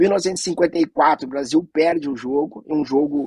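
A man has a normal speaking voice with a fairly high pitch and ordinary pitch variation. The sound is dry and close, with no echo. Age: 40s. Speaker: anti-racism organization director. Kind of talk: panel discussion.

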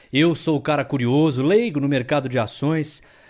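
A man with a fairly high pitch is heard on a very clean recording against a silent background. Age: 20s. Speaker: podcast host, journalist. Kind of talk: casual chat. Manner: animated.

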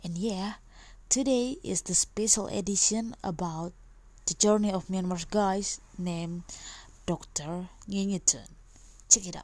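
A soft-spoken, somewhat breathy woman talks at a fairly slow pace with long, frequent pauses. Her medium pitch shows ordinary variation, while her loudness swings widely. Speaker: podcast host. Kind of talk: casual interview. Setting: home recording at night.

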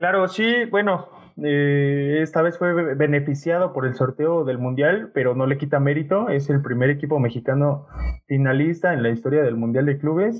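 Speaking in a plain, everyday voice, a man keeps a fairly high pitch, very even loudness, ordinary pitch variation and a moderate pace. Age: 20s. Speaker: podcast host. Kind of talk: casual chat.

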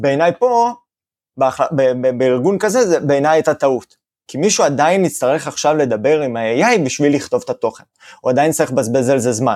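Lively in intonation, a man with a fairly high pitch speaks at a fairly quick pace. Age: 30s. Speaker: digital marketing agency owner. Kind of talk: interview. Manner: halting, many fillers.

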